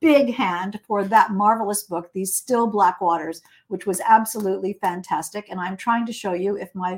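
Natural reading voice

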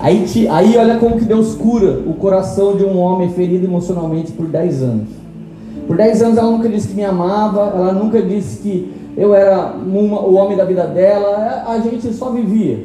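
A man speaks with a high pitch, ordinary pitch variation and a moderate pace. Music plays in the background, and the room echo is audible. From São Paulo state, Brazil (Tremembé). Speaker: pastor. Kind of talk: sermon. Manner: animated.

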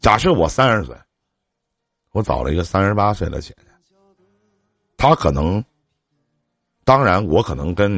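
Speaking at a moderate pace, a man's voice shows vocal fry and very wide pitch swings. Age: 40s. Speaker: radio call-in advice host. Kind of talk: call-in advice chat.

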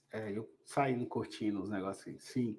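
Very wide pitch swings mark this man's speech. He talks at a fairly slow pace. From Belo Horizonte, Brazil. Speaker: podcast host, industrial cybersecurity consultant. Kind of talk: casual chat. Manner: animated.

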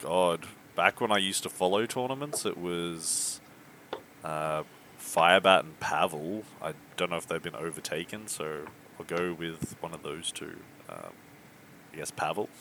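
Over noticeable background noise, a man with an Australian accent and a very deep, low pitch speaks at a moderate pace with ordinary pitch variation and long, frequent pauses. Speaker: podcast guest. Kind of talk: casual chat.

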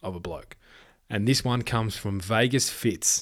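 On a very clean recording with a silent background, a man with an Australian accent talks at a fairly quick pace in a medium-pitched voice with ordinary pitch variation. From Western Australia. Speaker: podcast host. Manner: halting, emotional; informal, warm.

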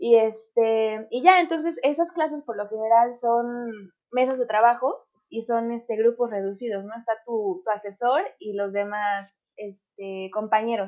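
A woman with a fairly high pitch and a dark, mellow tone speaks fairly slowly with hardly any pauses, ordinary pitch variation and big swings in loudness. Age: 20s. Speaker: podcast host. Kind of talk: casual chat.

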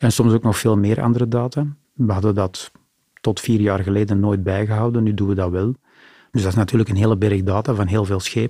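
A man talks at a fairly quick pace in a fairly low, dark and mellow tone with very even loudness. The recording is very clean, the background silent. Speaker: port authority digital executive. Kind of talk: interview conversation. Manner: animated.

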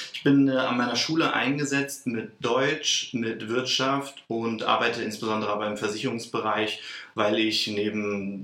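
Amid noticeable background noise and audible room echo, a man speaks at a moderate pace with a fairly low pitch and ordinary pitch variation. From northern Germany, Lower Saxony (Celle). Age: 30s. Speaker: vocational school teacher, former trainee teacher. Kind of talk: interview conversation.

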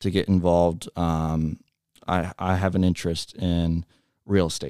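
In a Midwestern American accent, a man speaks at a moderate pace with a very deep, low pitch, a dark, mellow tone and fairly even intonation. The recording is very clean with a silent background and a dry, close sound with no echo. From US Midwest, Cincinnati area, Ohio. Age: 20s. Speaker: high school alumni director. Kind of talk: casual interview. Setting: studio.

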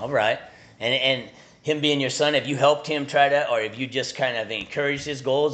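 This man talks at a fairly quick pace in a normal speaking voice, his pitch sitting at a medium level. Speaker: podcast host. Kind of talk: interview, casual chat.

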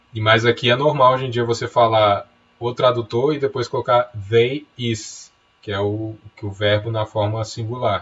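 A man speaks at a medium pitch in a somewhat breathy voice. His pace is fairly slow and his intonation fairly even. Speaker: podcast co-host, writer. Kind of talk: casual chat.

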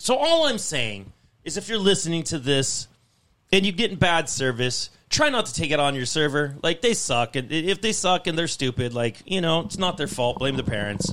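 A man with a fairly high voice shows vocal fry. His pitch swings very widely. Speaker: podcast co-host. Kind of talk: angry rant about bad restaurant service, cursing. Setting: studio, several people around a table. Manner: loud, irate, profane, venting and fast-paced.

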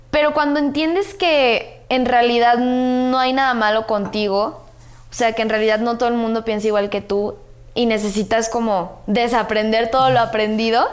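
This woman has a fairly high pitch and an unremarkable speaking voice. She talks at a moderate pace with ordinary pitch variation. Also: very even loudness. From Guadalajara, Mexico. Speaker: social media influencer. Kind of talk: casual chat.

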